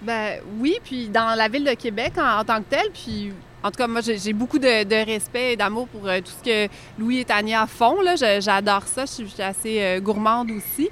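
Pitch variation is ordinary and the pace moderate. It is a plain, everyday voice. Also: woman, fairly high pitch for a woman. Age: 40s. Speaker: liqueur producer. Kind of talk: casual chat.

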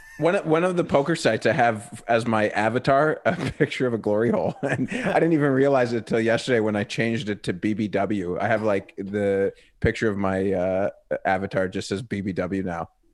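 A man with an American accent and an ordinary speaking voice, medium in pitch, with lively intonation at a moderate pace. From New York City. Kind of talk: casual chat. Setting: video call.

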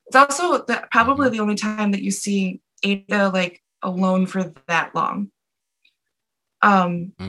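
A woman with an American accent, a bright, sharp tone and medium pitch, ordinary pitch variation, a moderate pace and long, frequent pauses. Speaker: filmmaker. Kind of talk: interview.

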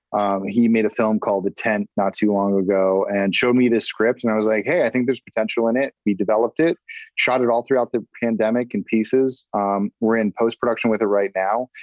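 In a normal speaking voice with an American accent, a man at medium pitch talks at a fairly quick pace with hardly any pauses, very even loudness and fairly even intonation. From Massachusetts. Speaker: filmmaker. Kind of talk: casual chat.

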